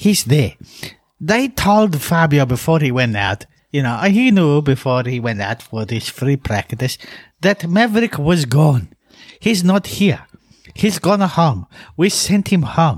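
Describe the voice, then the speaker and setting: Somewhat breathy speech at a fairly slow pace, with very wide pitch swings. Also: man, fairly high pitch for a man. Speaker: motorcycle racing podcast co-host. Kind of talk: casual chat.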